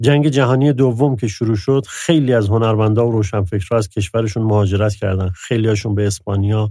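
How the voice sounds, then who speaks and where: A man speaks very fast in a fairly low voice with ordinary pitch variation. His tone is dark and mellow. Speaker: literary podcast co-host. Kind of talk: scripted narration.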